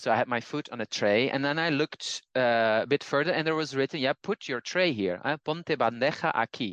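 Recorded with a dry, close sound and no echo, a man with a Dutch accent speaks at a fairly high pitch with ordinary pitch variation. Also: fairly quick pace. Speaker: language teacher and polyglot. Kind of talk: casual conversation.

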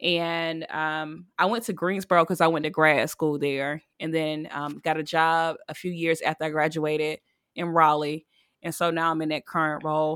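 A woman's very deep, low voice, monotone and flat at a moderate pace, dry and close with no echo on a very clean recording with a silent background. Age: 30s. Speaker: podcast co-host, musician and photographer. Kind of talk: casual chat.

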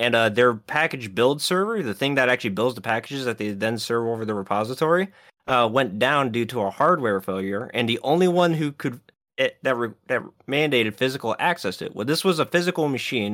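A man speaks in a plain, everyday voice at a medium pitch and fairly quick pace, with lively intonation, on a very clean recording with a silent background. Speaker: podcast co-host. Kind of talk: casual chat.

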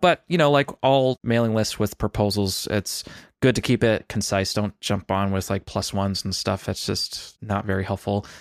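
A man speaks at a moderate pace with a fairly low pitch and ordinary pitch variation, in a plain, everyday voice. The recording is very clean, with a silent background. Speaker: podcast co-host. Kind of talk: casual tech chat.

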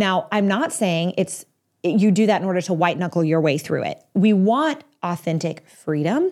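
A woman with an American accent, an ordinary speaking voice, medium pitch and lively intonation talks at a moderate pace in a very clean recording with a silent background. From Texas. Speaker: marriage and family therapist. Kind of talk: advice monologue answering a listener question.

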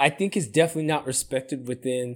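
The recording is very clean, with a silent background. In it, a man talks with an American accent. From Sacramento area, California. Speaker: podcast co-host. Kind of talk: casual chat. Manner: animated.

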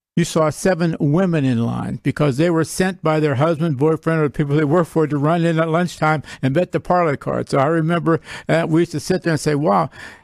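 A man with a plain, everyday voice, fairly high in pitch, with fairly even intonation and a dry, close sound with no echo. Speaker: sportsbook worker. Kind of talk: casual chat. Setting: studio.

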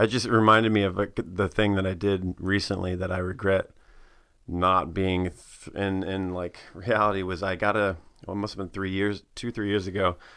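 With an American accent, the speaker has monotone, flat intonation in a very clean recording with a silent background. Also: man. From Tennessee, US South. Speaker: guest. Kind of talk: casual chat.

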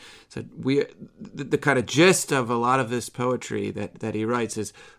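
In a very clean recording with a silent background, a man with an American accent uses a normal speaking voice at medium pitch, moderate pace and ordinary pitch variation. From US Midwest. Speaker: podcast host. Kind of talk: discussion of a poem.

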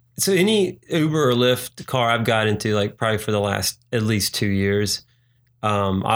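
Recorded very cleanly against a silent background, a man with an American accent speaks at a moderate pace in a fairly low voice with ordinary pitch variation. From North Carolina and Virginia, US. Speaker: singer-songwriter. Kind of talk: casual chat.

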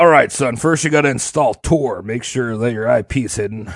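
Using a put-on character voice, a man rumbles at a medium pitch. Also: moderate pace. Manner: gruff, patient instructing.

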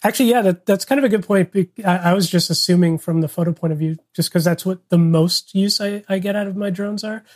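In a dry, close sound with no echo, a man talks at a very fast pace with hardly any pauses, using a high pitch and ordinary pitch variation. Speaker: photographer and filmmaker. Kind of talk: casual chat.

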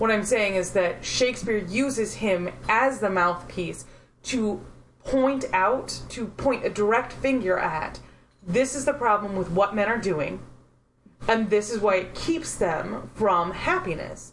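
A woman's normal speaking voice at a fairly slow pace, with ordinary pitch variation. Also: medium pitch for a woman. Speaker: podcast co-host. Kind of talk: casual chat.

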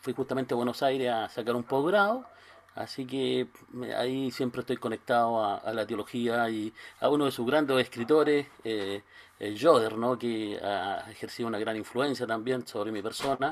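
A man talks at a moderate pace in a normal speaking voice. His medium pitch varies in an ordinary way. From Chile, Concepción. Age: 60s. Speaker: pastor. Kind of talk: interview.

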